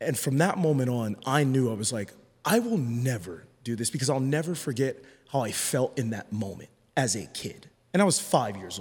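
Speaking at a moderate pace, a man uses lively intonation at a medium pitch, his voice somewhat breathy. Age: 30s. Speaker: former reality TV contestant. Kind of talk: casual chat.

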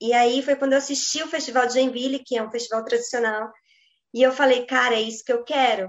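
Words come at a very fast pace with fairly even intonation. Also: woman, high pitch for a woman. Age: 20s. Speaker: ballet dancer and journalist. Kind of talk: interview.

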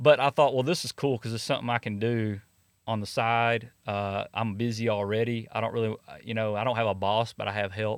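A man with an East Texas accent and a medium pitch talks at a fairly quick pace with fairly even intonation, in a dry, close sound with no echo and a very clean recording with a silent background. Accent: East Texas Southern US. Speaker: network marketing entrepreneur, former high school coach. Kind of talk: casual interview.

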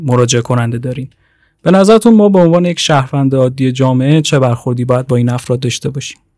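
A man talks at a very fast pace and medium pitch with ordinary pitch variation. His tone is dark and mellow. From Iran, Tehran. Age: 20s. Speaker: podcast host, graduate student. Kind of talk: interview; scripted narration.

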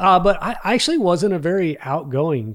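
In a very clean recording with a silent background, a man with a slight Texan accent speaks at a moderate pace with lively intonation. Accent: Texas accent, slight. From Texas. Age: 40s. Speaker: business executive and podcaster. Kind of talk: casual interview chat.

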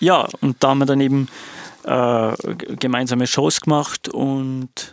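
Speaking very slowly at a medium pitch, a man keeps a fairly even intonation in a very clean recording with a silent background and a dry, close sound without echo. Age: 30s. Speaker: music producer and DJ. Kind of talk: casual chat.

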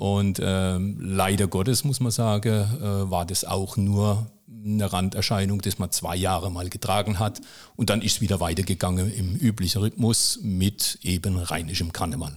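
A man at a fairly low pitch and a fairly slow pace, with hardly any pauses and fairly even intonation, in a very clean recording with a silent background. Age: 50s. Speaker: municipal technical services manager and club chronicler. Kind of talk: casual interview. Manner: frequent hesitations (äh, ähm).

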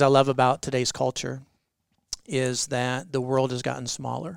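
This man has a plain, everyday voice. He keeps to a moderate pace. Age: 40s. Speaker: pastor. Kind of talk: interview.

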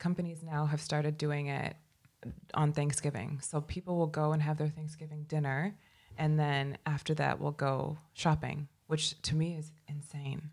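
A woman's very deep, low voice with a Midwestern accent, on a very clean recording with a silent background. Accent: American (Midwest). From US Midwest, Chicago. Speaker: grad student, beauty Instagrammer. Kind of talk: casual chat.

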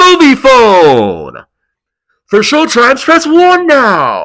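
This put-on character voice is high-pitched and moves at a very slow pace. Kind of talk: announcer.

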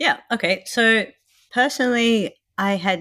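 This voice has an Australian accent and a bright, sharp tone on a very clean recording with a silent background. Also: woman. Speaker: new mother sharing birth story. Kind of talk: interview, personal story.

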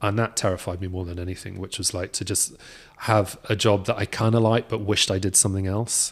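A man with a British accent talks very fast at a fairly low pitch. His intonation is monotone and flat, on a very clean recording with a silent background. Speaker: film concept designer. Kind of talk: casual podcast interview. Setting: workshop.

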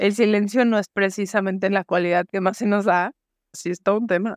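Against a quiet background, a woman with a Mexican accent speaks in a dry, close sound with no echo. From Mexico, Guadalajara. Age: 40s. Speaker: podcast host. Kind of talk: casual interview chat.

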